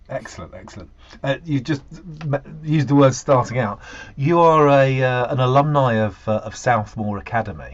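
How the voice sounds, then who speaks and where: An ordinary speaking voice at a moderate pace with ordinary pitch variation. Loudness swings widely. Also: man, medium pitch for a man. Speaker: interviewer. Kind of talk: interview questions.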